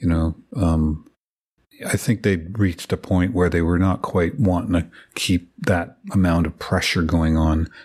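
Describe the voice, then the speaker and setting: A man with an Ottawa Valley accent talks fairly slowly in a very deep, low pitch with ordinary pitch variation, on a very clean recording with a silent background. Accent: Ottawa Valley Canadian English. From Ottawa Valley, Ontario, Canada. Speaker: record producer. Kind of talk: casual interview.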